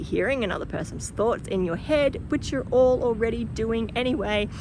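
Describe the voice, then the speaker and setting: Over noticeable background noise, a woman with a strong Australian accent talks at a fairly quick pace, medium in pitch, with lively intonation. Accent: broad Australian. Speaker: spiritual teacher and channeler. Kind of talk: casual vlog talk to camera. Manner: animated.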